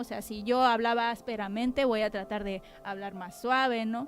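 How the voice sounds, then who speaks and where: With music in the background, a woman speaks at a moderate pace with fairly even intonation. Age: 30s. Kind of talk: testimony. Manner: sharp, clipped speech.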